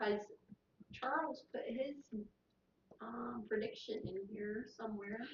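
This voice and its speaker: A very slow delivery in a Southern US accent. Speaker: co-host reading viewer comments. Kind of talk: casual chat. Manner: hesitant, many fillers.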